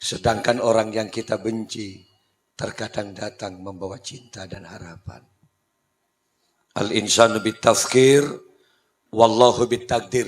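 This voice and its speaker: A man speaks fairly slowly at a medium pitch, leaving long, frequent pauses. His intonation is fairly even, but his loudness swings widely. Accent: Madurese. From Madura, Indonesia. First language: Madurese (speaking Indonesian). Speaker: Islamic preacher. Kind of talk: humorous sermon.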